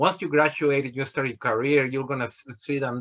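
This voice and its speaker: With a Mexican accent, a man speaks at medium pitch and with fairly even intonation. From Mexico, Guanajuato. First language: Spanish. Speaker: engineer. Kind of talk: motivational talk. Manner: halting, many fillers.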